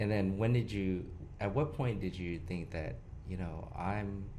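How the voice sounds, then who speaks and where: Audible room echo carries a man's somewhat breathy, fairly low voice at a moderate pace. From Houston, Texas. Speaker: podcast host. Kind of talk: casual interview.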